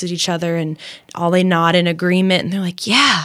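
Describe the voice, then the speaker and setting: Someone with a Midwestern American accent talks at a fairly quick pace. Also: woman. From US Midwest, Champaign-Urbana, Illinois. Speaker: Olympic athlete and mindset coach. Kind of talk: interview.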